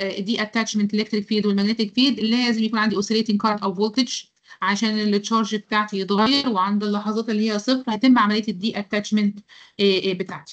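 Over a quiet background, a woman talks in a fairly high voice. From Egypt. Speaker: university lecturer. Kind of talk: online lecture. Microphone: video call.

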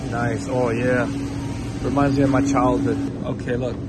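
A man speaks with a dry sound with no echo. Loud background noise is present. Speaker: vlogger. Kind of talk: casual vlog chat. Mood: excited, nostalgic. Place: shop.

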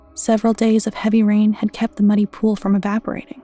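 With music in the background, a woman talks at a moderate pace in a monotone, flat intonation, the sound dry with no echo. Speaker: story narrator. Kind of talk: storytelling narration.

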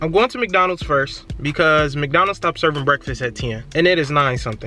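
Faint music plays in the background as a man talks at a fairly quick pace with ordinary pitch variation, the sound dry with no echo. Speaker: food vlogger. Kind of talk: casual vlog chat. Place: car. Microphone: phone near.

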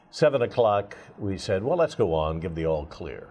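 Over light background noise, a man speaks with a very deep, low pitch. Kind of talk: interview answer. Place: studio. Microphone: lapel.

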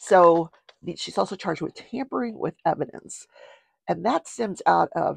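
A woman speaks at a fairly low pitch with vocal fry and lively intonation. The sound is dry with no echo, and the background is quiet. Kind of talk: casual talk show commentary. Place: home room. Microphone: lapel.

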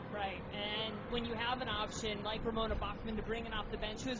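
The pace is very fast. Background noise is noticeable. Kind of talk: sports commentary. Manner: analytical, measured, explaining plays as co-commentator.

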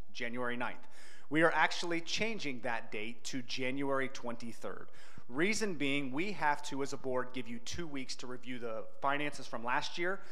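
With ordinary pitch variation, the man keeps a moderate pace. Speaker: pastor. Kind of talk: church announcements. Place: church. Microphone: handheld.

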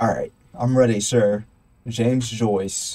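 Medium-pitched male speech with noticeable noise in the background. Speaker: gaming YouTuber. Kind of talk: let's play commentary. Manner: rambling, casual.

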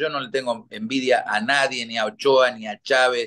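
At a moderate pace and with ordinary pitch variation, a man speaks against a quiet background. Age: 60s. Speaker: retired football goalkeeper; guest. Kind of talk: interview. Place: home room. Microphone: video call.

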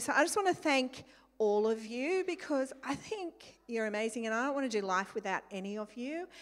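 Against a quiet background, a woman speaks in a high pitch with an Australian accent. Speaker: church leader. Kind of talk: prayer and exhortation. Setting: church. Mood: warm, grateful. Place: hall. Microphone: handheld.

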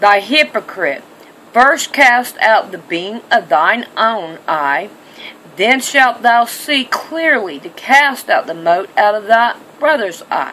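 A woman at a very slow pace with very wide pitch swings, over light background noise. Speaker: home bible teacher. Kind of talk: scripture reading and sermon-like commentary. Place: home room. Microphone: webcam.

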